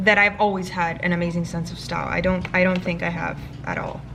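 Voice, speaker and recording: A woman talks over noticeable background noise. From Miami, Florida (Cuban American family). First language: Spanish. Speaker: beauty and lifestyle vlogger. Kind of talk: casual get-ready-with-me Q&A. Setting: at home, filming with vlog camera.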